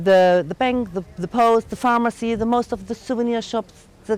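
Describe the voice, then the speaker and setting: Dry and close with no echo, a woman's fairly high voice moves at a moderate pace. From Germany. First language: German. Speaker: tour guide. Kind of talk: guided tour.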